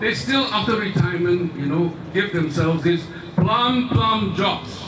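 A fairly slow voice in a Singaporean accent, with noticeable background noise. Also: man. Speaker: rally speaker. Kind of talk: rally speech, addressing a crowd with rhetorical appeals and a story. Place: stage.

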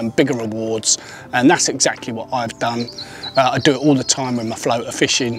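Faint music plays behind a man talking at a fairly quick pace in a dry sound with no echo. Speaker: presenter. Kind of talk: tutorial. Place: open country. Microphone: lapel.

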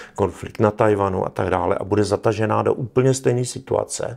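Against a quiet background, a man talks at a fairly low pitch with vocal fry. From Czech Republic. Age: 60s. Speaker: military analyst. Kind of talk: interview. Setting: studio. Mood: serious, earnest. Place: studio.

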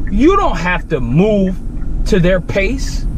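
Over noticeable background noise, a man talks at a very slow pace in a dry sound with no echo. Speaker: gym vlogger. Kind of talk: angry rant. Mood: emphatic, motivational, irritated. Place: car. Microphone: phone near.

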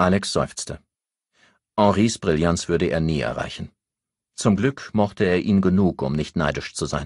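A man's low voice with a slightly mellow tone, ordinary pitch variation and a fairly slow pace, on a very clean recording with a silent background.

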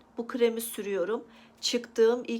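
This woman has a normal speaking voice, talking at a moderate pace with fairly even intonation. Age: 30s. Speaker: lifestyle vlogger. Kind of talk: personal vlog about recovery.

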